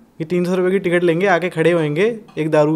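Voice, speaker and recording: The man's voice sits at a high pitch. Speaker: rapper. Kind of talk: casual interview chat.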